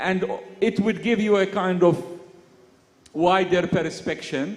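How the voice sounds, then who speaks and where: There is noticeable background noise behind this man. He speaks with an Arabic accent at a high pitch and a fairly slow pace. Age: young. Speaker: poet. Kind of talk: panel conversation at literary festival. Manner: halting.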